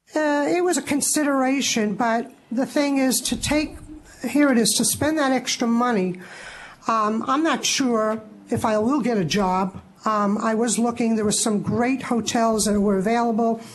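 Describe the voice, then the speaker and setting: Heard in a normal speaking voice, the loudness stays very even while the pitch varies in an ordinary way. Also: woman, fairly high pitch for a woman, moderate pace. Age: 60s. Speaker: licensee appealing to licensing board. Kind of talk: public testimony at board meeting. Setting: public board meeting.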